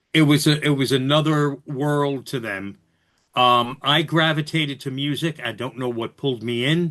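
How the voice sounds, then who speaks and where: With a New York accent, a man talks at a moderate pace in a fairly high, bright, sharp tone, his intonation fairly even. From New York City (Bronx). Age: 60s. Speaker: radio host, podcast guest. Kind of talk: casual interview chat.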